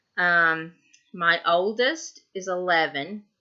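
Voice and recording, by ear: With a Tennessee accent, the voice is bright and sharp in tone and moves at a slow pace. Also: woman, fairly low pitch for a woman, ordinary pitch variation. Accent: Southern US, Tennessee.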